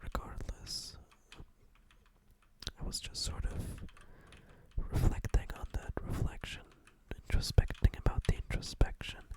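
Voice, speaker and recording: A fairly slow whisper against noticeable background noise. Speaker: ASMR gaming commentator. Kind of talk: ASMR gameplay commentary. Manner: whispered, soft-spoken.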